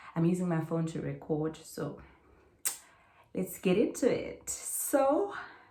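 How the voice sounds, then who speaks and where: The woman's voice sits fairly low in pitch. Room echo is audible. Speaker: student vlogger. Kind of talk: casual vlog talk. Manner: casual, code-switching.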